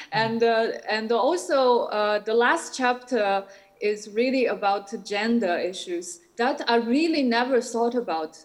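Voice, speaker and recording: Speaking in a Shanghai accent, a woman uses a fairly high pitch with ordinary pitch variation and very even loudness at a fairly slow pace, over noticeable background noise. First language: Shanghainese. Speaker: artist and academic. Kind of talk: conference Q&A. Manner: halting, many fillers.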